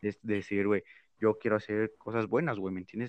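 A man with a fairly low pitch talks at a very fast pace, sounding dry and close with no echo over a quiet background. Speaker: podcast co-host. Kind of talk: casual chat.

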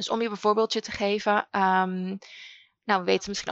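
Delivered in a monotone, flat intonation, the words come at a fairly quick pace. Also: woman. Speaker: educational consultant and podcast host. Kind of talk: interview answers.

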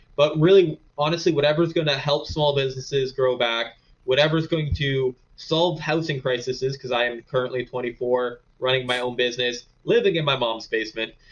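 A man speaks at a medium pitch in an Ontario accent. His pace is moderate, with ordinary pitch variation. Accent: rural Ontario Canadian. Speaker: small business owner. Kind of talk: casual interview.

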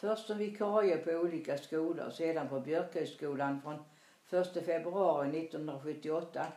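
With a Småland accent, a woman speaks very slowly in a fairly low pitch with ordinary pitch variation, amid noticeable background noise and audible room echo. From Småland, Sweden. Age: 80s+. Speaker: grandmother telling her life story. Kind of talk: reading aloud. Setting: in her apartment.

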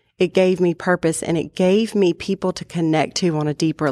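A woman speaks at a moderate pace with an American accent and fairly even intonation, in a normal speaking voice. The recording is very clean with a silent background and a dry, close sound with no echo. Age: 30s. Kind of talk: personal testimony in casual chat.

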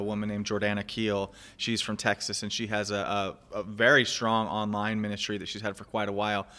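Over a very clean recording with a silent background, a man with a fairly low pitch and a bright, sharp tone speaks at a fairly quick pace with hardly any pauses and monotone, flat intonation. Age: 30s. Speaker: podcast host. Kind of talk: casual chat.

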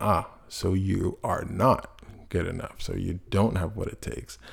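In a very clean recording with a silent background, a man speaks in a fairly low pitch, somewhat breathy. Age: 20s. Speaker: podcast host. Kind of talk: personal monologue. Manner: halting, many fillers.

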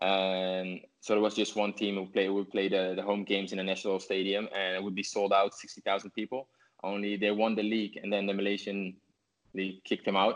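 The speaker has a Dutch accent and a fairly quick pace. The intonation is monotone and flat. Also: man, fairly low pitch for a man. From Netherlands. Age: 30s. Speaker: professional footballer. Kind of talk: interview. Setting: video call. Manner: halting.

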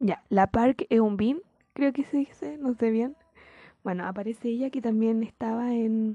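A woman's fairly high voice at a fairly slow pace, with ordinary pitch variation. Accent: Chilean. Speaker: podcaster. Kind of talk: casual chat. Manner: laughs often.

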